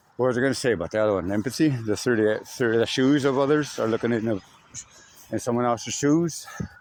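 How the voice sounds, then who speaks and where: A man with an American accent talks at a very fast pace, his loudness very even and his pitch varying an ordinary amount. Noticeable background noise runs under the recording. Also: medium pitch for a man. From Meskwaki Settlement, Iowa, US Midwest. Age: 40s. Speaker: vlogger. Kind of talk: casual vlog monologue. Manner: rambling, halting with fillers.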